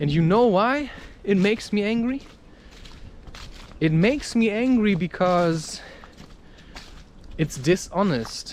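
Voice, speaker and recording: Against noticeable background noise, a man speaks very slowly at a high pitch with very wide pitch swings. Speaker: spiritual podcaster and author. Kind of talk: casual spiritual talk to camera, personal monologue.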